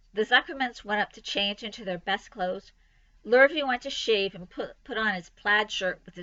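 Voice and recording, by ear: Someone is reading aloud in a natural voice.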